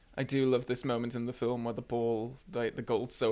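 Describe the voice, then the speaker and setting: With a northern English accent, this man talks at a fairly quick pace in a medium pitch, his intonation monotone and flat. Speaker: film reviewer. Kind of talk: casual talk to camera.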